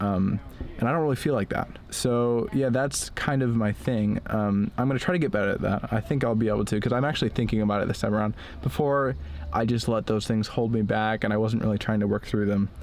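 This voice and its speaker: At a very fast pace, a man talks in a fairly low voice with very even loudness and ordinary pitch variation. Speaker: vlogger. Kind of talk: vlog monologue. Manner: slurred speech; hesitant, many fillers.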